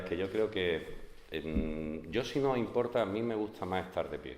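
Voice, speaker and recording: The speech moves at a fairly slow pace with ordinary pitch variation, and audible room echo surrounds it. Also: man. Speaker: art historian lecturer. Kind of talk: lecture. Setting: conference hall with audience. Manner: hesitant, many fillers. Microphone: speaking without microphone.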